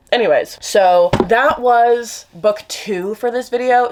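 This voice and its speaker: The speaker is a woman. Noticeable background noise runs underneath. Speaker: book vlogger. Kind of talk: casual vlog chat. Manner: fast; trips over words.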